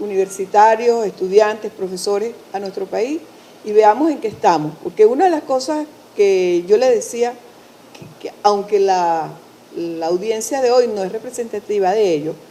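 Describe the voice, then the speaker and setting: Over noticeable background noise, a woman with a fairly high pitch speaks fairly slowly with lively intonation. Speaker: university director. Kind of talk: event introduction. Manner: halting.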